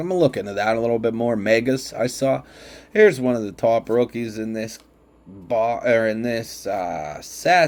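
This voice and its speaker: A man with a Pittsburgh accent at a moderate pace. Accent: Pittsburgh (Yinzer). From Pittsburgh, western Pennsylvania. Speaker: sports card collector, channel host. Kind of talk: casual card-opening video commentary. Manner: chatty, with hesitations.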